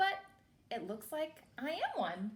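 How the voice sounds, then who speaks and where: Putting on a character voice, a woman swings her pitch very widely. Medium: read story.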